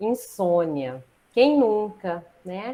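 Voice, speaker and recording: A woman's voice with very wide pitch swings. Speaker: acupuncturist and pharmacist. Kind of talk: online lecture.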